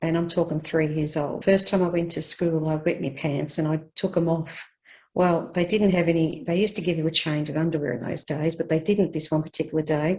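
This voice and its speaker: A woman with an Australian accent and a fairly low pitch. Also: fairly quick pace, quiet background. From Australia, Victoria. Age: 60s. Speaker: care leaver interviewee. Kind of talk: life story interview.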